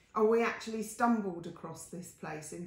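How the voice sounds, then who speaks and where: Audible room echo and noticeable background noise are present as a woman speaks at a moderate pace. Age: 60s. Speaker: artist. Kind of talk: casual talk-through of paintings on video. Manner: chatty, with fillers and self-corrections.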